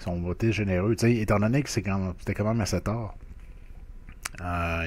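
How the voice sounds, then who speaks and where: The intonation is fairly even. A man delivers it at a fairly quick clip. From Quebec. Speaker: food review YouTuber. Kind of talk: casual food review monologue. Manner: hesitant, many fillers. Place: home room. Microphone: webcam.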